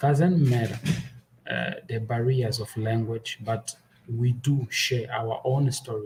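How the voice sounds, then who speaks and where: Somewhat breathy and dark, mellow in tone, a man speaks at a medium pitch with fairly even intonation and a fairly slow pace. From Angola. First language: Portuguese. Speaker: podcaster. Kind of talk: festival presentation.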